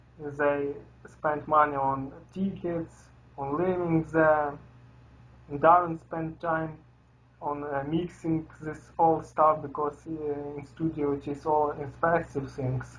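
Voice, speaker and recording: The delivery is very slow. A non-native accent comes through. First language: not English. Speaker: metal band member. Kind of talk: interview. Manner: halting.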